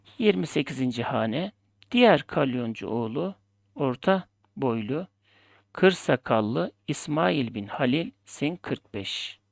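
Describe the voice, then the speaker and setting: On a very clean recording with a silent background, the words come at a very slow speed. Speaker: Ottoman script teacher. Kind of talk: tutorial.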